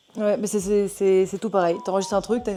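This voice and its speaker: A woman's words pour out at a very fast pace. She speaks at a medium pitch. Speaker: singer. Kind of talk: casual chat. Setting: getting tattooed during podcast recording.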